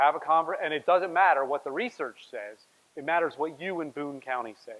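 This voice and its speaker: A man's voice at a fairly quick pace, with ordinary pitch variation. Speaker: workshop facilitator. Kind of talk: workshop presentation. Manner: fast.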